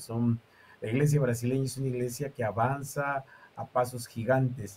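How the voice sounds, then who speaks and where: A somewhat breathy man's voice of medium pitch and dark, mellow tone, at a fairly slow pace with fairly even intonation. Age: 50s. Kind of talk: interview. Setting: live stream.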